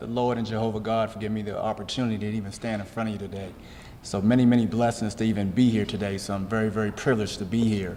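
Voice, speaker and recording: The speech comes at a very fast pace with ordinary pitch variation and audible room echo. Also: man. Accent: American. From Maryland, Rockville. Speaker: athletics hall of fame inductee, former coach. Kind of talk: award acceptance speech. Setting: stage with audience. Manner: halting, with repetitions and fillers.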